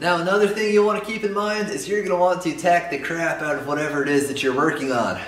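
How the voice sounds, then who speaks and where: Audible room echo surrounds a man talking at a very fast pace and a high pitch, with ordinary pitch variation. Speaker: welding instructor. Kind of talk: tutorial. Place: garage.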